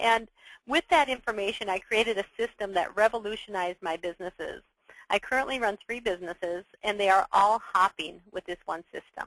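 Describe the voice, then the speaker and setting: This woman speaks at a fairly quick pace with a medium pitch and ordinary pitch variation. The sound is dry and close, with no echo. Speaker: webinar presenter and entrepreneur. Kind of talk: webinar presentation. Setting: online webinar. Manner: fast.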